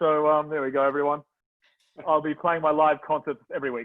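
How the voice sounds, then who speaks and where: Speaking at a fairly high pitch, a man talks with an Australian accent. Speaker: event host. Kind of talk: live event hosting. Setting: video call. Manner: animated; loud, yelling.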